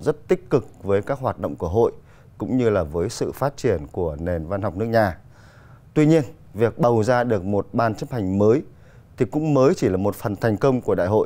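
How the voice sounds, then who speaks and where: A man with a dark, mellow tone speaks with very wide pitch swings. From Vietnam. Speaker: TV program host. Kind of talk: studio interview. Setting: studio. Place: studio. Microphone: lapel.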